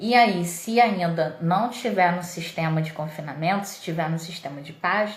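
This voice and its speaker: Through audible room echo and noticeable background noise, a woman with a fairly low pitch speaks at a fairly slow pace with ordinary pitch variation. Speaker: dairy nutrition consultant. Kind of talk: livestream lecture. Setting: live stream.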